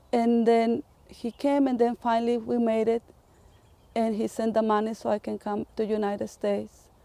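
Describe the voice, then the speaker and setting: With a Spanish accent, a woman speaks at a fairly high pitch and a moderate pace, her tone dark and mellow. Her intonation is monotone and flat, and the sound is dry and close with no echo. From Mexico. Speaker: community health worker. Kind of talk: testimony.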